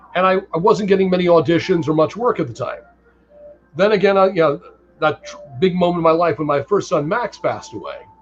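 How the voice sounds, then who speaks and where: With music in the background, a man with a high pitch talks at a moderate pace and ordinary pitch variation. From Connecticut, US. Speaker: voiceover actor and stage actor. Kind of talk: interview.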